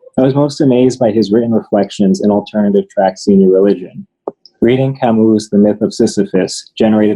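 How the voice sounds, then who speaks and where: At a fairly quick pace, a man uses an unremarkable speaking voice pitched fairly low. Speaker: teacher. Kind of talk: prepared tribute speech.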